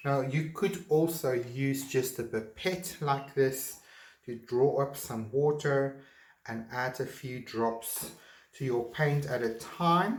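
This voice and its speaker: A man speaks very slowly in a fairly high, somewhat breathy voice with a non-native accent and ordinary pitch variation. Room echo is audible. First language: not English. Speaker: art teacher. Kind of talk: tutorial. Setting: home art studio. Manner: halting.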